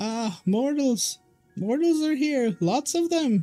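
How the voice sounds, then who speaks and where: A man's put-on character voice, extremely high in pitch, at a fairly slow pace, with faint music in the background. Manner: excited, squealing.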